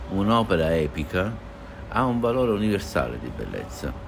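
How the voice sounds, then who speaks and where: Music plays in the background and audible room echo surrounds a man's very deep, low voice. He keeps a moderate pace while his pitch swings very widely. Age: 60s. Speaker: art patron. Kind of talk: interview.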